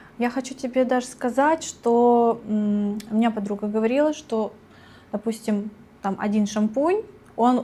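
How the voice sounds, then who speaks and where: A woman with an unremarkable speaking voice, fairly high in pitch, at a fairly slow pace with fairly even intonation. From Russia. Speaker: retail worker. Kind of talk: interview.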